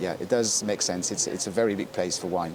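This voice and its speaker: A man with a French accent and a fairly low pitch speaks over noticeable background noise. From France. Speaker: wine specialist. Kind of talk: casual chat. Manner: halting.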